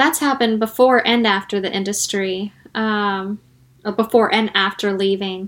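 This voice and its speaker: Recorded very cleanly against a silent background, a woman with an unremarkable speaking voice talks at medium pitch and a moderate pace, her intonation fairly even. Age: 30s. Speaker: former adult film performer. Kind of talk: interview.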